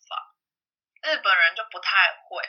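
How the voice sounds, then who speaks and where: A woman at a fairly slow pace. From Taiwan. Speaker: salesperson. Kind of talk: casual interview.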